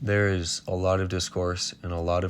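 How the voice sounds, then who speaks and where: The intonation stays monotone and flat on a very clean recording with a silent background. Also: man. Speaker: indie animation studio channel owner. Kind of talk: unscripted statement to camera. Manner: stuttering, hesitant.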